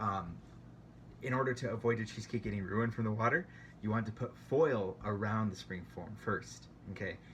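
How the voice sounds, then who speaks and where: A man's fairly low, vocal-fried voice at a fairly quick pace, with ordinary pitch variation. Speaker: home baker sharing tips. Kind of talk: tutorial. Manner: fast; hesitant, many fillers.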